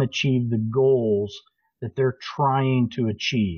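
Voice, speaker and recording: The man's voice is somewhat breathy. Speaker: social media marketing director and industry speaker. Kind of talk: casual interview chat. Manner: rambling, talkative.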